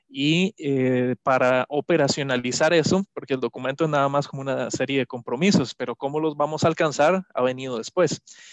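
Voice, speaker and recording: The speech comes at a fairly quick pace with hardly any pauses and ordinary pitch variation, recorded dry and close with no echo over a quiet background. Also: man, fairly high pitch for a man. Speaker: climate policy expert. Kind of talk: interview answer at online conference. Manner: hesitant, many filler sounds.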